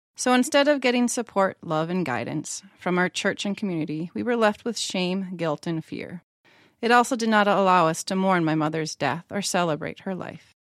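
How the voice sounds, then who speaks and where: Using an ordinary speaking voice, a woman with an American accent talks at medium pitch and a moderate pace with lively intonation, in a dry, close sound with no echo. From central Minnesota, US. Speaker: church member sharing faith story. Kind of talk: personal testimony read aloud.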